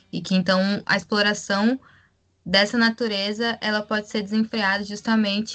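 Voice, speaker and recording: A woman at a medium pitch, somewhat breathy, with monotone, flat intonation at a fairly slow pace. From Rio Grande do Sul, Brazil. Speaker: podcast co-host, health professional. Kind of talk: casual political discussion.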